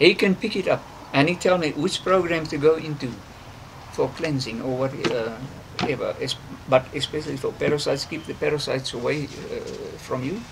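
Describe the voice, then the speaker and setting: A man talks at a fairly quick pace with long, frequent pauses, his voice fairly high with ordinary pitch variation. Noticeable background noise runs underneath. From South Africa. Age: 60s. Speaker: conservationist. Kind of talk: interview. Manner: halting, many fillers.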